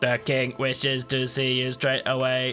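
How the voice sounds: Over clear music in the background, a man does a robotic put-on character voice at a medium pitch with monotone, flat intonation. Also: moderate pace.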